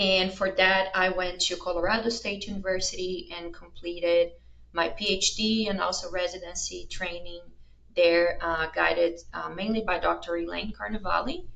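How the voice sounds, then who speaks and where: Speaking at a moderate pace, a woman has a Brazilian accent. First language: Portuguese. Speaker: veterinary researcher. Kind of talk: interview.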